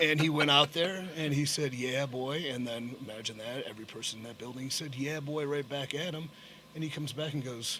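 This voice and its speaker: A man with a plain, everyday voice speaks at a fairly high pitch with ordinary pitch variation. His loudness swings widely. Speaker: professional wrestler. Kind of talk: podcast interview answer.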